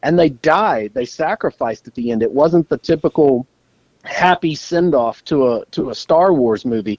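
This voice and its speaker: This man has an ordinary speaking voice, pitched fairly high. He moves at a moderate pace with lively intonation. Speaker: podcast co-host. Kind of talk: casual chat, podcast banter.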